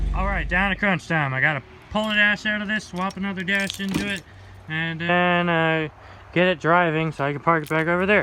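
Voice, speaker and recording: There is noticeable background noise as a man with a high pitch talks at a fairly quick pace with fairly even intonation. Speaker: DIY truck mechanic vlogger. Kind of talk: casual vlog narration while working. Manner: casual, halting with self-corrections.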